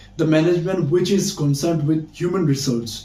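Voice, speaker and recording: With a Bangladeshi accent, a man speaks amid audible room echo. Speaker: English teacher, university student. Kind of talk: casual vlog-style talk. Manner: halting, with frequent fillers.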